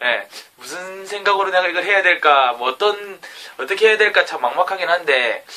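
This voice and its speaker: A man speaks at a moderate pace in a raised, projected voice with a strong Gyeongsang accent. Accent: thick Gyeongsang dialect. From South Korea, Gyeongsang (Jinju). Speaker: aspiring educator and vlogger. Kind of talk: self-recorded vlog talk. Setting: alone in his bedroom at night.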